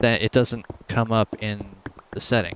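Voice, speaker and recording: The man's voice sits at a medium pitch with a soothing, relaxed tone. Noticeable background noise runs behind him. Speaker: gaming YouTuber. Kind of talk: casual commentary.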